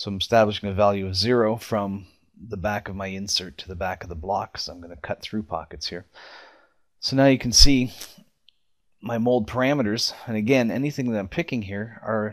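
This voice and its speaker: A man at a fairly quick pace and fairly low pitch, ordinary pitch variation, in a very clean recording with a silent background. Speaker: software demonstrator. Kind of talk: tutorial. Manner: fast; casual.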